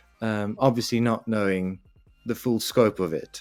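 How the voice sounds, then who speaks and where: With a South African accent, a man speaks at a moderate pace in a fairly low pitch with ordinary pitch variation, the sound dry and close with no echo and music playing in the background. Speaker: actor. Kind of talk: interview.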